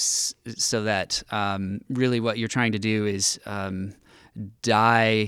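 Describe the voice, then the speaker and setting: Very slow and fairly even in intonation, the speech has an American accent and comes in a very clean recording with a silent background. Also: man. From US West Coast. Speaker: pastor. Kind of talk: casual chat. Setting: studio.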